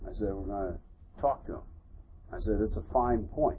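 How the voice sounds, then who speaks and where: There is audible room echo around a man who speaks with an American accent and sounds somewhat breathy. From US Northeast, Philadelphia. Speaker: military general. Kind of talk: onstage interview before a live audience.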